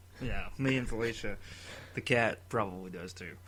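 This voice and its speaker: Audible room echo surrounds a man of fairly low pitch who speaks with an American accent. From Tennessee. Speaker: podcast co-host. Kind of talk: casual chat.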